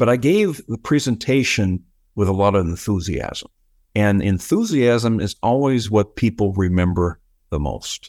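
A normal speaking voice, a man with an American accent at fairly low pitch, ordinary pitch variation and a fairly slow pace, in a dry, close sound with no echo. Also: very clean recording, silent background. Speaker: engineer, project delivery officer, public speaking coach. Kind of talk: interview.

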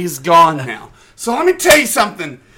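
A man uses a raised, projected voice in a bright, sharp tone. His pitch swings very widely at a moderate pace. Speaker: podcast host. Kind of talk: drunken rant. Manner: animated.

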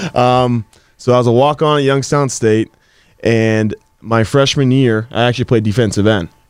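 A man with an American accent and a normal speaking voice talks at a moderate pace and medium pitch, with fairly even intonation and very even loudness. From Pittsburgh area, Pennsylvania. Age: 20s. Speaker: professional football player. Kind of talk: interview.

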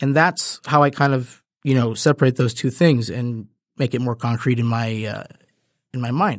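In a Midwestern American accent, a man talks at a moderate pace with a medium pitch and ordinary pitch variation on a very clean recording with a silent background. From suburban Michigan. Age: 20s. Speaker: podcast host. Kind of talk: solo monologue. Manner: halting, many fillers.

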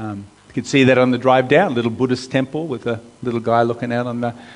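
A man talks with an American accent as noticeable background noise carries on around him. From US. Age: 50s. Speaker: pastor. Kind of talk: sermon.

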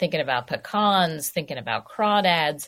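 A woman talks with an American accent and ordinary pitch variation. The recording is very clean, with a silent background. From New York City. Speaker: food writer. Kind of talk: radio interview.

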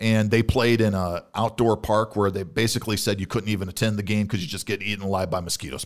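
At a very fast pace with hardly any pauses, a man with an American accent speaks in a fairly low pitch and fairly even intonation, in a very clean recording with a silent background. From US Midwest (Illinois). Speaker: podcast co-host. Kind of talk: casual chat. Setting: studio.

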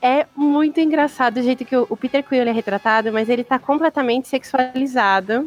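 The speech runs at a fairly quick pace with hardly any pauses, ordinary pitch variation and very even loudness, in a dry, close sound with no echo. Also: woman, high pitch for a woman. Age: 30s. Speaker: comics professional and fan. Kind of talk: casual chat.

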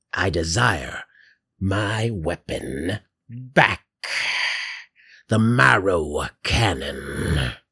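Using a raspy, put-on character voice with a very deep, low pitch, a man speaks at a very slow pace, with long, frequent pauses. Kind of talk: comic grandma voice. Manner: sweet, doting, cheerfully sinister.

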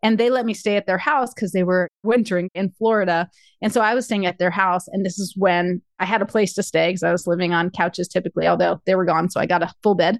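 A woman speaks fairly quickly in a plain, everyday voice at medium pitch with ordinary pitch variation. The sound is dry and close with no echo, against a quiet background. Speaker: financial coach and speaker. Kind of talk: casual interview chat.

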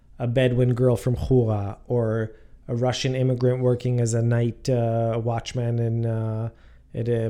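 Speaking fairly slowly, a man uses a medium pitch and a dark, mellow tone with monotone, flat intonation. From Israel, Jerusalem. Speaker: podcast host. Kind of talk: interview. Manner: hesitant, many fillers.

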